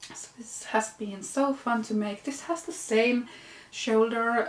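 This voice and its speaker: A woman with a Finnish accent and a fairly high voice speaks at a fairly slow pace with ordinary pitch variation over noticeable background noise. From Finland. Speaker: knitting podcaster. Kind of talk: casual vlog show-and-tell. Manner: casual with hesitations.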